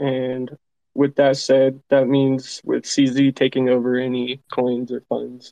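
Very slowly and with monotone, flat intonation, a man speaks at a medium pitch in a dark, mellow tone. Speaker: exchange company representative. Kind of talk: explanatory panel discussion about crypto. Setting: Twitter Spaces online audio.

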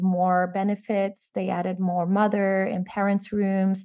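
A woman's medium-pitched voice in a Portuguese accent. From Brazil, São Paulo. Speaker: tech company CEO. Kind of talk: interview.

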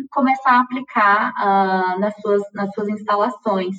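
An unremarkable speaking voice from a woman, fairly high in pitch, with ordinary pitch variation. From Minas Gerais, Brazil (Uberlândia). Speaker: chemical engineer working in automation. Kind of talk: casual interview.

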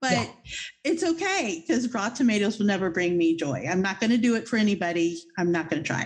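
A woman speaks at a fairly quick pace with a fairly high pitch. Hers is an unremarkable speaking voice. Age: 50s. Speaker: podcast host. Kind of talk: casual interview chat.

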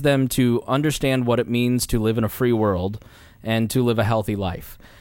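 Speaking at a moderate pace, a man has a plain, everyday voice of medium pitch with ordinary pitch variation. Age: 30s. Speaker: libertarian podcast host. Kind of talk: casual chat. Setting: studio.

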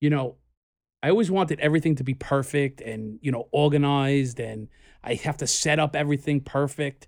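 On a very clean recording with a silent background, a man with a New York accent and fairly high pitch speaks at a fairly quick pace with ordinary pitch variation. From US Northeast, New York City (Queens). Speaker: podcast co-host, entrepreneur. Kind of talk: casual chat. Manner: halting.

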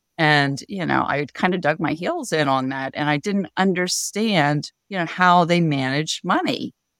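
In a normal speaking voice with an American accent, a woman talks at a fairly slow pace in a fairly low pitch, with ordinary pitch variation and hardly any pauses, on a very clean recording with a silent background and a dry, close sound with no echo. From Pennsylvania, Harrisburg area. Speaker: financial therapist and coach. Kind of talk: interview.

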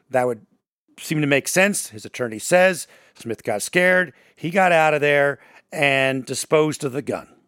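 A man with a fairly high voice speaks in an animated tone at a moderate pace. The recording is very clean with a silent background, and the sound is dry and close with no echo. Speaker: radio host. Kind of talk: casual podcast discussion.

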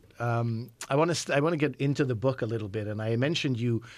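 A man with a Canadian accent and an unremarkable speaking voice talks at a fairly quick pace and a medium pitch. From Montreal, Quebec, Canada. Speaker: radio host. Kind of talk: interview. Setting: studio.

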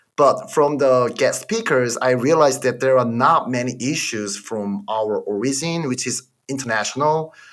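The speaker has a Korean accent and ordinary pitch variation. The pace is moderate, with hardly any pauses. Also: man, medium pitch for a man. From South Korea. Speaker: podcast host, MBA graduate. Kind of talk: casual chat. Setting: video call.

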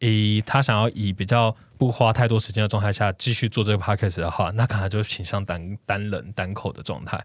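In a Taiwanese accent, the speaker moves at a fairly quick pace with hardly any pauses and fairly even intonation, on a very clean recording with a silent background. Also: man, fairly low pitch for a man. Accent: Taiwanese Mandarin. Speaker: podcast producer. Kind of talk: casual interview chat. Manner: halting, hesitant.

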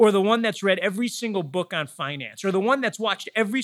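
In a Michigan accent, a man speaks with a bright, sharp tone on a very clean recording with a silent background. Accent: General American, Michigan. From US Midwest, Metro Detroit. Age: 40s. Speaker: real estate company learning executive. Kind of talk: interview.

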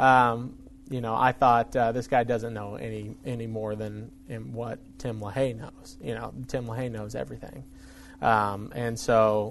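In an unremarkable speaking voice, the speaker goes at a fairly slow pace with fairly even intonation and big swings in loudness. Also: man, medium pitch for a man. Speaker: ministry staff member, former police department worker. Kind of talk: casual interview.

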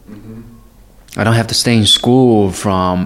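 A man's medium-pitched voice with a Chinese accent and fairly even intonation, over noticeable background noise. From China, Guiyang. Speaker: photographer. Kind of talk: interview.

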